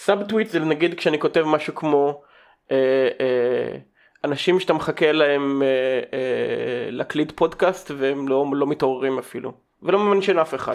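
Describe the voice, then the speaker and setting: Against a quiet background, a man with an unremarkable speaking voice talks at a fairly high pitch with ordinary pitch variation. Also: moderate pace. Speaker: podcast host. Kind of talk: casual chat; reading aloud.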